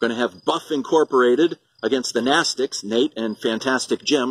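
A man's animated, very fast delivery at medium pitch, with ordinary pitch variation and a dry sound free of echo. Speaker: wrestling promoter. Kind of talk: wrestling promo announcement. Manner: animated, hyped-up promoter delivery. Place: garden. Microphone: phone near.

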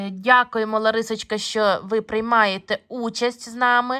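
A woman speaks at a very slow pace in a bright, sharp tone. The recording is very clean, with a silent background. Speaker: bead embroidery video blogger. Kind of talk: casual video blog review. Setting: filming handheld at home. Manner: hesitant, many fillers.

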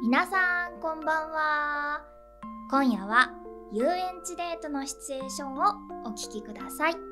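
Over clear music in the background, a woman speaks in a raised, projected voice with a high pitch and ordinary pitch variation. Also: moderate pace. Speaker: voice actor, radio host. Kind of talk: radio show introduction to camera. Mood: friendly, smiling. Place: studio. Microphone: studio mic.

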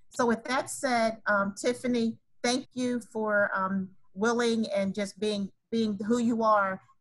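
A woman speaks at a fairly slow pace and sounds somewhat breathy. Her intonation stays fairly even. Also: quiet background. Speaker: event host. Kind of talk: formal introduction. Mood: warm, honored. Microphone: video call.

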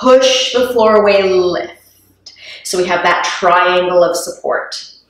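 A woman speaking very slowly with ordinary pitch variation and audible room echo. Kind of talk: exercise class instruction. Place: gym. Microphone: camera far.

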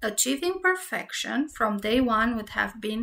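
Her voice high, bright and sharp, a woman speaks fairly slowly with lively intonation. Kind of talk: audiobook narration. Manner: even, measured narrator pace; reads story in steady storytelling tone.

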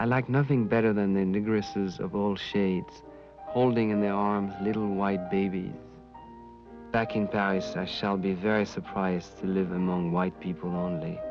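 With music in the background, a man with a slight French accent talks at a moderate pace, his fairly low pitch showing ordinary variation. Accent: light French. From France. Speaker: narrator. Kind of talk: documentary narration reading letters in first person.

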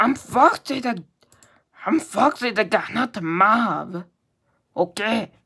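Putting on a character voice, a woman speaks very slowly at a fairly high pitch. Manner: playful, exaggerated.

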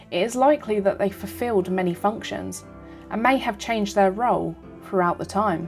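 A fairly quick pace and ordinary pitch variation, with music in the background. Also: woman. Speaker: tour narrator. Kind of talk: documentary narration.

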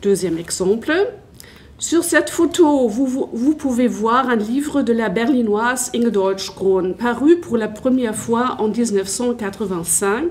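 A woman talks at a very slow pace in a German accent, her pitch fairly high. Light background noise sits behind her. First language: German (speaking French). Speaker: history teacher and academic; history teacher. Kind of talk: conference talk. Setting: conference with audience. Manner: halting. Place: hall. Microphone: handheld.

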